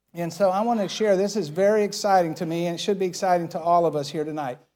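Using a high pitch with ordinary variation, a man speaks in a dark, mellow tone at a moderate pace. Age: 60s. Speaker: pastor. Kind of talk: sermon. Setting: church. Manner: animated.

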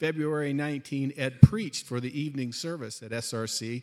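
The man has a plain, everyday voice with a fairly high pitch and a moderate pace. The recording is very clean, with a silent background. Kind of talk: reading aloud. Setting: church.

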